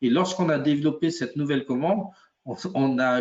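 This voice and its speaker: This is a man with a plain, everyday voice. His pitch is fairly high, with ordinary variation, at a moderate pace. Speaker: software product expert. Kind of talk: webinar software demo. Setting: live webinar.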